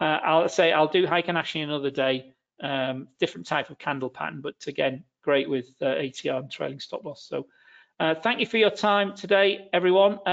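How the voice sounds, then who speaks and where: A man talks at a moderate pace in a fairly high pitch, with a normal speaking voice. His loudness rises and falls in big swings. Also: ordinary pitch variation. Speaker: webinar presenter. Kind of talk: webinar presentation on trading strategies. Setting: online webinar, video call.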